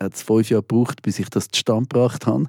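On a very clean recording with a silent background and a dry, close sound with no echo, a man speaks at medium pitch with a dark, mellow tone and fairly even intonation. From Switzerland (lived in Ivory Coast until age six). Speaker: musician and music producer. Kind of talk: interview.

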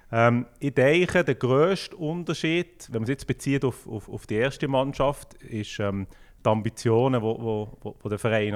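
A man talks in a plain, everyday voice. He keeps a moderate pace with ordinary pitch variation. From Switzerland, Fribourg canton (Düdingen). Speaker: football club sporting director. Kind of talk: casual interview.

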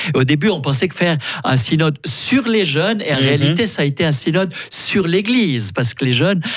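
Noticeable background noise sits behind a man speaking at a moderate pace. His intonation is lively. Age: 60s. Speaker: priest and theology professor. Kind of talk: radio interview. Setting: studio.

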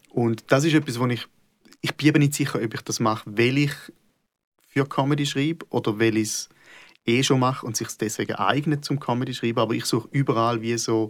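The man's voice sits at a medium pitch, with fairly even intonation and a fairly quick pace. The recording is very clean, with a silent background. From Switzerland, Schaffhausen. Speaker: comedian. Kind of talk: casual conversation.

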